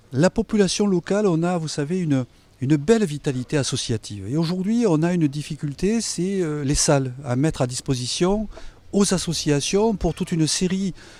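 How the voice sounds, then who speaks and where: Lively intonation runs through this voice. The pace is moderate. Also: man, fairly high pitch for a man. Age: 60s. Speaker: mayoral candidate. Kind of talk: campaign interview. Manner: hesitant, many fillers.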